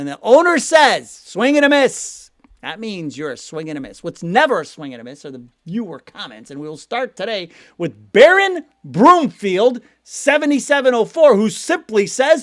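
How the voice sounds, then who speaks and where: An animated man with an American accent, at a moderate pace, with very wide pitch swings. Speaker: sports news channel host. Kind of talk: casual commentary and viewer comment reading. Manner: animated, conversational.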